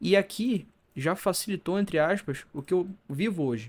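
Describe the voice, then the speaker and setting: A man talks with ordinary variation in pitch. The background is silent and the recording very clean. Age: 20s. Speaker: mental health youtuber. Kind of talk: video monologue. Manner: stumbling over words.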